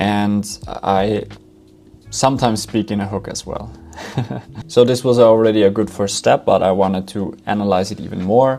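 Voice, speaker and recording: Someone with a non-native accent speaks at a moderate pace, leaving long, frequent pauses. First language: not English. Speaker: founder and content creator, AI tutorial maker. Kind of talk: tutorial. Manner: conversational, with filler words.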